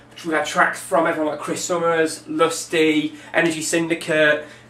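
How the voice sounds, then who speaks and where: Someone speaks with an English accent against noticeable background noise. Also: man. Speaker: DJ and record label promoter. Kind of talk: video update, promotional monologue. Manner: fast; enthusiastic.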